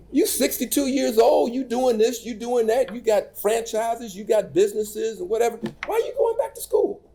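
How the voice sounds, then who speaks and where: Speaking at a fairly quick pace with an American accent, this voice comes through over noticeable background noise. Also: man. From US South, rural North Carolina. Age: 60s. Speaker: keynote speaker. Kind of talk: motivational speech. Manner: animated.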